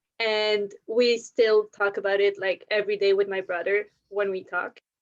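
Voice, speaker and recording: A woman with a French accent speaks at a medium pitch and a moderate pace in a flat monotone, the sound dry and close with no echo. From Belgium. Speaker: podcast guest. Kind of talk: casual chat.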